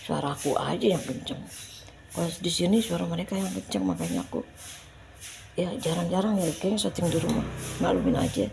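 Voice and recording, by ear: A woman speaks at a fairly low pitch and a fairly quick pace, with vocal fry. Her tone is slightly mellow, with big pitch swings.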